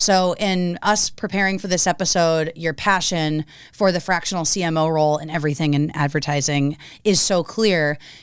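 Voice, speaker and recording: A woman with an American accent speaks at a moderate pace in a fairly low pitch with fairly even intonation, on a very clean recording with a silent background. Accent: Boston, comes out more with drinking. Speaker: podcast host. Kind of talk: casual interview chat. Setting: studio table, drinking beer on show.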